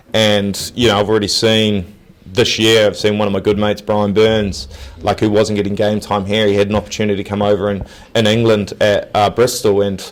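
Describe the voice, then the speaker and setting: The speaker has a New Zealand accent and talks at a fairly quick pace. The intonation stays monotone and flat. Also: man, fairly low pitch for a man. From New Zealand, Nelson. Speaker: professional rugby player. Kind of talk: interview. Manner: casual, halting with many fillers.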